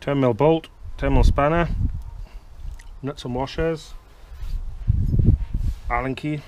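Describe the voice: Speaking slowly, a man uses a medium pitch, a slightly mellow tone and fairly even intonation.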